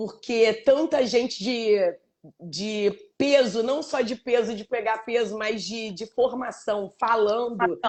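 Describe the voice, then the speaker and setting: A woman speaks at a very slow pace. Her voice is fairly high, with ordinary pitch variation. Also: big swings in loudness. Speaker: live show host and book organizer. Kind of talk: casual chat. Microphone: connection issues, switched to 4G.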